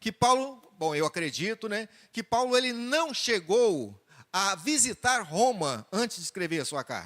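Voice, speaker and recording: The speech moves at a fairly slow pace with very wide pitch swings, recorded with a dry, close sound and no echo. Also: man. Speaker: preacher. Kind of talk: sermon.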